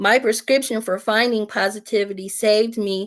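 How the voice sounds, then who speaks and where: With an American accent, a woman uses an ordinary speaking voice at a fairly high pitch. She talks at a fairly slow pace with fairly even intonation over a quiet background. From United States. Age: 60s. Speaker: peer support specialist. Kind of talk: testimony.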